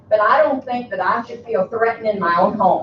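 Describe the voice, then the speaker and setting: Amid noticeable background noise, a woman talks in a high voice with ordinary pitch variation. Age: 70s. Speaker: resident speaking at council meeting. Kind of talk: public comment at council meeting. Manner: animated.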